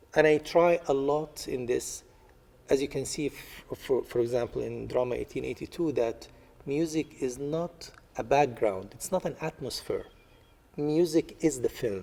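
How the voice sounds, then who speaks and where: A man with an Arabic accent speaks at a moderate pace in a fairly high pitch, his dark, mellow tone carrying ordinary pitch variation. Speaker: artist. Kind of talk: interview. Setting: library. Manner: halting, many fillers.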